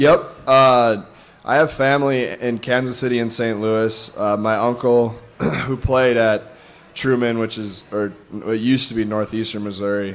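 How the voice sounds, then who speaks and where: A man talks at a moderate speed, and noticeable background noise can be heard. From North Dakota (Fargo). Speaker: college football player. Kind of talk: radio interview.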